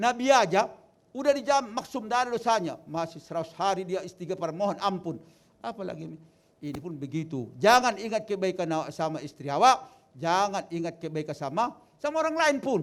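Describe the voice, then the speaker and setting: Talking at a fairly quick pace, a man with a high pitch makes very wide pitch swings. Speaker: wedding advice speaker. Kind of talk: wedding speech.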